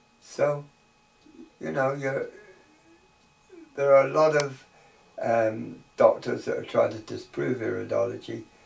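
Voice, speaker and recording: Fairly slow speech broken by long, frequent pauses, with noticeable background noise. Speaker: iridology teacher. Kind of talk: tutorial.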